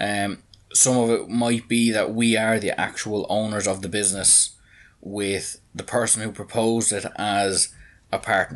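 Spoken at a fairly slow pace in an Irish accent, the delivery stays monotone and flat over a quiet background. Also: man, fairly low pitch for a man. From Ireland. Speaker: NFT project founder and businessman. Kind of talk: podcast interview.

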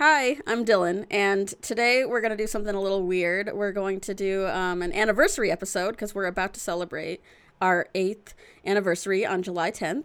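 A woman's plain, everyday voice with an American accent, medium-pitched with ordinary pitch variation, at a fairly quick pace, in a very clean recording with a silent background. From Florida. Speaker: film podcast co-host. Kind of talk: casual chat.

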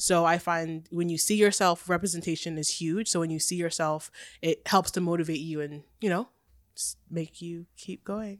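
An ordinary speaking voice at a moderate pace, with fairly even intonation, in a very clean recording with a silent background. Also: woman, fairly low pitch for a woman. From Oshawa, Ontario, Canada. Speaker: photographer and podcaster. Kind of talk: casual chat.

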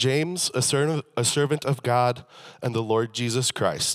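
An ordinary speaking voice carries ordinary pitch variation throughout. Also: man. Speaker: preacher. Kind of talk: sermon. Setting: church with congregation. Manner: humorous, casual.

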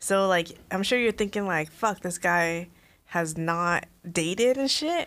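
Here a woman has a plain, everyday voice at a medium pitch with ordinary pitch variation. The recording is very clean, with a silent background. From Vietnam, moved to US as a child in 2000. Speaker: podcast co-host. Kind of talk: casual chat.

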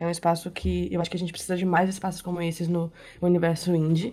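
A woman talks at a very fast pace. Her voice sits at a medium pitch with a dark, mellow tone. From Bahia, Brazil. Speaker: game developer. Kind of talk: casual interview.

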